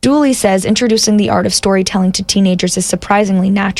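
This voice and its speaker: Speaking very fast, a woman uses a medium pitch and fairly even intonation. Her voice is somewhat breathy. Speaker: radio reporter. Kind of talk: radio news feature narration.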